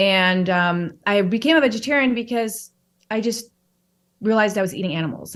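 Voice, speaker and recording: A woman speaks with an American accent at a fairly high pitch. The background is quiet. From Chicago, US Midwest. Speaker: wellness author and podcaster. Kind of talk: podcast interview.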